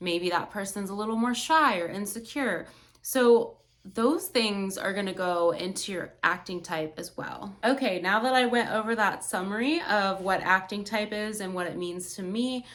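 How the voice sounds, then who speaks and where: Calm in tone, a woman speaks at a medium pitch. Her pace is moderate and her pitch variation ordinary. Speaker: acting student. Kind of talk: class presentation.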